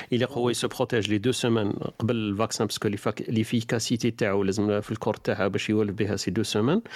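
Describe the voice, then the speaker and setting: With an Algerian accent, a man talks at a very fast pace and a medium pitch. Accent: Algerian Arabic with French code-switching. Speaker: online radio host. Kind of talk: live call-in talk show. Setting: live online studio broadcast.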